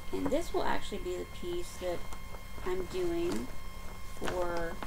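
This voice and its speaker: A woman speaks with an American accent over loud background noise. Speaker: stitching vlogger. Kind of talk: casual vlog update. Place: home room. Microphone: webcam.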